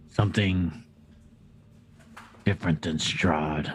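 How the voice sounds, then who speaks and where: A man puts on a character voice that is raspy and very deep, speaking at a fairly slow pace. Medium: actual play. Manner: probing, deliberate.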